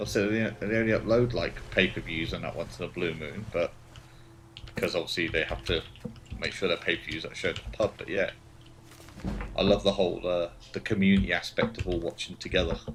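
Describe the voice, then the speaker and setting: A man talks at a fairly quick pace yet with long, frequent pauses. There is noticeable background noise. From Britain. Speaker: gaming livestreamer. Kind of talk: casual chat. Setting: livestream.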